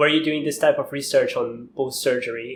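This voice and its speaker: A man with a slight non-native accent speaks at a moderate pace. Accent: slight foreign. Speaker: podcast host, graduate student. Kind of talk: interview.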